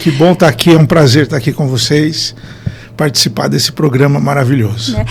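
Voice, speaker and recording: A man with a fairly high pitch and ordinary pitch variation speaks at a moderate pace over noticeable background noise. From Brazil, interior of Paraná (Maringá region). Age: 40s. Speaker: neurotherapist, performance consultant. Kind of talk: podcast interview.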